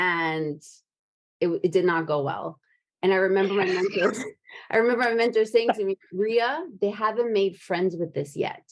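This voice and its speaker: A woman at a medium pitch talks at a moderate pace with ordinary pitch variation, in a plain, everyday voice. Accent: American. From New Jersey, Brooklyn and Japan. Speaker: podcast host. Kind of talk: casual chat.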